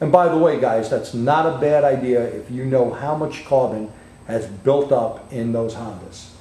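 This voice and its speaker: A man with a New York accent, fairly high pitch, and lively intonation, plus audible room echo. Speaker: automotive technical trainer. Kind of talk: technical webcast demonstration.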